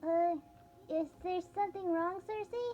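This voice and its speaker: Clear background noise sits behind a woman doing a squeaky, put-on character voice at an extremely high pitch and a moderate pace. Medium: actual play.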